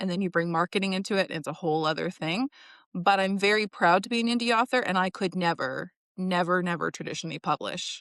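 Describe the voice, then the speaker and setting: A woman with a Western Canadian accent speaks very fast at medium pitch with ordinary pitch variation and an animated tone, the sound dry and close with no echo against a quiet background. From British Columbia, Canada. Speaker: indie author and book coach. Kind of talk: casual interview chat.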